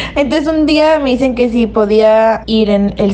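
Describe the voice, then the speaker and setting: Through noticeable background noise, the voice moves at a moderate pace with ordinary pitch variation. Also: woman. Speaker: anonymous listener sharing a story. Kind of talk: recorded testimony.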